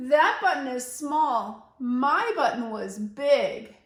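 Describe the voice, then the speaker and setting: A woman uses a put-on character voice with a high pitch. There is a slight echo. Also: very slow pace. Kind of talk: read-aloud for young children. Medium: read story.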